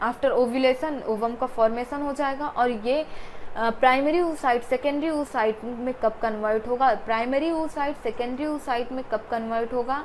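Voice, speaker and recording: A woman speaks at a high pitch and a moderate pace. Her intonation is fairly even, with hardly any pauses. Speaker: biology teacher. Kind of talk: lecture. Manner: repetitive, emphatic teaching.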